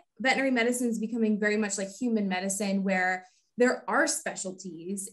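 This woman has an ordinary speaking voice, fairly high in pitch, with fairly even intonation and an American accent. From Texas, Houston. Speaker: veterinarian. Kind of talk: interview.

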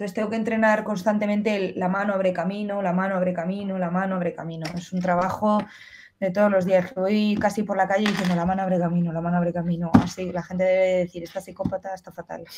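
Noticeable background noise runs under this clip. A woman talks very fast in a somewhat breathy voice. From Spain. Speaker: fencer; interviewee. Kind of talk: casual interview. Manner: animated. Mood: lively, animated. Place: home room. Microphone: earbuds.

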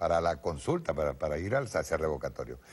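A man speaks with vocal fry. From Venezuela. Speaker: TV political show host. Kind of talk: political commentary. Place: studio.

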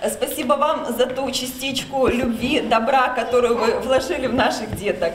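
Audible room echo and light background noise surround speech at a moderate pace with fairly even intonation. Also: woman. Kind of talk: formal thank-you speech. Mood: warm, grateful, emotional. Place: hall. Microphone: camera far.

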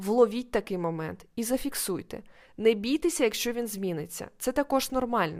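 A woman's fairly high-pitched, ordinary speaking voice with lively intonation and a moderate pace, on a very clean recording over a silent background. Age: 20s. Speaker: podcast host and life coach. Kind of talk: solo educational monologue.

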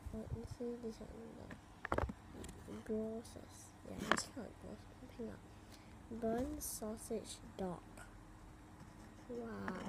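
A soft-spoken woman talks at a very slow pace with long, frequent pauses. Noticeable background noise is present. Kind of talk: casual toy unboxing talk to camera.

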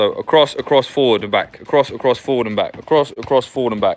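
A man with a fairly high pitch and ordinary pitch variation speaks in a calm tone over light background noise. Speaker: football coach. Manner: brisk, directive, rapid-fire counting and cues, calm and encouraging; upbeat, reassuring praise. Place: garden. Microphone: phone near.

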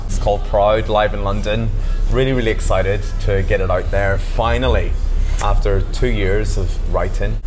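Clear music plays in the background while a man talks at a moderate pace. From Northern Ireland. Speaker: singer-songwriter. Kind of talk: interview answer. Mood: earnest, reflective. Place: bar. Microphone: lapel.

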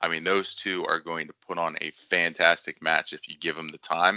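With a very deep, low pitch and a bright, sharp tone, a man speaks at a moderate pace in a dry sound with no echo against a quiet background. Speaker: podcast guest. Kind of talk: interview answer. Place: home room. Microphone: headset.

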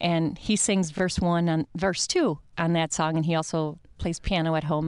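A woman speaks at a moderate pace with a Midwestern American accent, her pitch fairly low and her loudness very even. The sound is dry with no echo, the background is quiet, and there are hardly any pauses. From US Midwest. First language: Italian. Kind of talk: radio interview. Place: studio. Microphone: studio mic.

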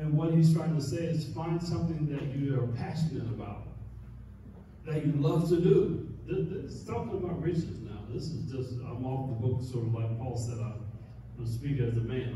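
In strong room echo over noticeable background noise, a man talks at a moderate pace with ordinary pitch variation. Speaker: pastor. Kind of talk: sermon. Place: church.

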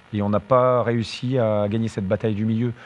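A man is talking. The melody of his speech is fairly even. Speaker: football coach. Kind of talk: press conference answer. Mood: subdued after a loss. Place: hall. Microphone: podium.

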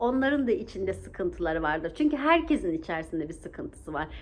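This woman's tone is animated. Her pitch swings very widely. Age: 40s. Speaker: vlogger. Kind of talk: motivational vlog talk. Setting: outdoors.

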